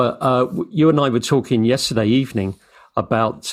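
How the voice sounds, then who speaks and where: A man with a plain, everyday voice speaks at a moderate pace on a very clean recording with a silent background. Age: 60s. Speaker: interviewer. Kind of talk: casual interview conversation.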